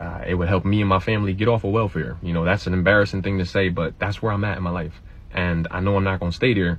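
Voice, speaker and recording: Over noticeable background noise, a man talks very fast in a very deep, low voice with hardly any pauses. His intonation stays fairly even. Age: 30s. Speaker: social media creator. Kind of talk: personal appeal to followers. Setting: live stream video.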